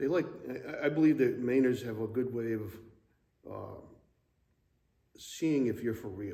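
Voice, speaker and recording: With long, frequent pauses and a fairly slow pace, a man's dark, mellow voice shows ordinary pitch variation amid audible room echo. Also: medium pitch for a man. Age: 60s. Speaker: church member, Navy retiree. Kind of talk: interview. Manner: hesitant, many fillers.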